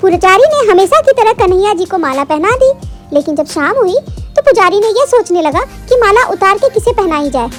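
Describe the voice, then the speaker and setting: A woman talks at a fairly quick pace with an extremely high pitch. Clear music plays in the background. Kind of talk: devotional storytelling. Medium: read story.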